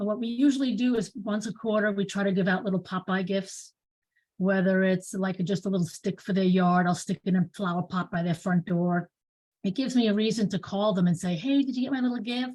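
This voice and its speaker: A woman with a New York accent talks at a fairly quick pace, her medium-pitched voice somewhat breathy and ordinary in its pitch variation. The recording is very clean and the background silent. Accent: New York accent, still noticeable. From New York, Bronx. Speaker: real estate agent. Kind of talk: casual chat.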